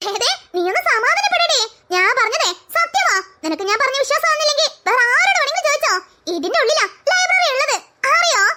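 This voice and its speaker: A cartoonish character voice with an extremely high pitch and a fairly quick pace. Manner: lecturing, self-important.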